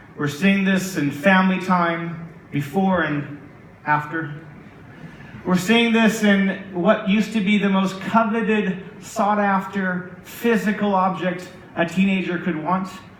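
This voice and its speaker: A man's high-pitched voice with an American accent at a fairly slow pace, plus audible room echo and noticeable background noise. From United States. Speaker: tech executive. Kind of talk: conference keynote. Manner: animated.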